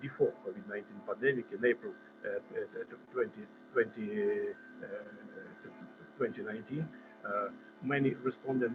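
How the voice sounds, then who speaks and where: A man speaks with a Russian accent. Music plays in the background. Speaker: conference presenter. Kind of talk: conference presentation. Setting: video call. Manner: halting, many repetitions and fillers.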